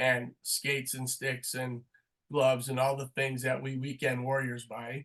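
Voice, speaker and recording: A man at medium pitch, fairly slow in pace, with monotone, flat intonation. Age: 60s. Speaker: sport marketing professor. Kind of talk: webinar interview.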